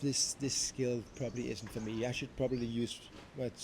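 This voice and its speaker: A man with a Danish accent speaks in a medium-pitched, somewhat breathy voice with flat, monotone intonation. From Denmark. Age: 30s. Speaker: vlogger. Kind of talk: unscripted vlog monologue. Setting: talking to camera. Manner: halting, self-correcting.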